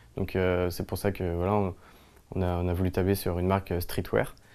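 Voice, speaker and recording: Very deep and low, a male voice of dark, mellow tone. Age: 20s. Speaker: clothing brand founder. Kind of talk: interview talk. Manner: hesitant, many fillers. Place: shop. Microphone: lapel.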